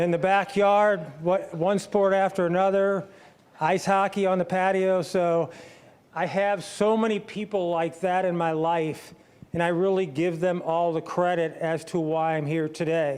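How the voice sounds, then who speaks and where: A man with a Midwestern American accent talks at a high pitch and a fairly slow pace. His intonation is monotone and flat, and his loudness stays very even. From St. Louis area, Missouri. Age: 60s. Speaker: former pro athlete and author. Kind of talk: testimony talk. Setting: stage with audience. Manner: casual.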